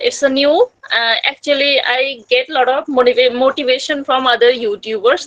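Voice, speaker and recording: Speaking at a moderate pace with a Bengali accent, the woman has a high-pitched voice. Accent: Indian English, Bengali. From India, northern West Bengal. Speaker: homemaker, English learner, YouTuber. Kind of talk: casual chat. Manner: halting.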